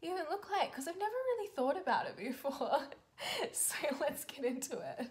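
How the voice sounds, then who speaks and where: A woman talks at a fairly quick pace in a high pitch. Her pitch swings very widely. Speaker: drawing vlogger. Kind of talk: casual vlog chat. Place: home room.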